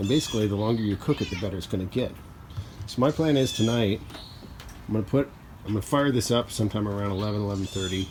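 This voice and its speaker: A man with a fairly low, somewhat breathy voice speaks at a very fast pace yet leaves long, frequent pauses, his pitch varying in an ordinary way. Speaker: DIY cooking video host. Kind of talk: casual tutorial vlog.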